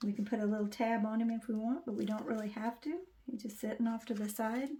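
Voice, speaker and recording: A woman's fairly high voice, with fairly even intonation, is heard over noticeable background noise. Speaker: crafting YouTuber. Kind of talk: tutorial. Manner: halting, many fillers; casual, chatty.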